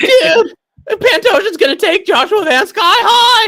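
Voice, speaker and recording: Extremely high in pitch, this is a put-on character voice. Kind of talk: laid-back surfer slang.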